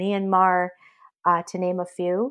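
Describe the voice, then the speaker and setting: An American accent from a woman, medium in pitch, fairly slow, with monotone, flat intonation. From Massachusetts, Belmont. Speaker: fintech executive. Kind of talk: interview. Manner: frequent fillers (um).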